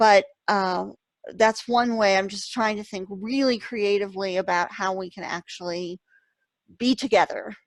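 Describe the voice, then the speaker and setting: An unremarkable speaking voice from a woman at medium pitch, fairly even in intonation yet with big swings in loudness, in a very clean recording with a silent background. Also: moderate pace. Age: 50s. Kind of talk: casual chat.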